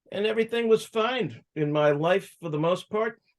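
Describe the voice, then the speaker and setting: Lively intonation marks this fairly slow speaker with an American accent. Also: man. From Massachusetts, suburban Boston. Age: 60s. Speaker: cannabis activist and entrepreneur. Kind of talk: interview life story.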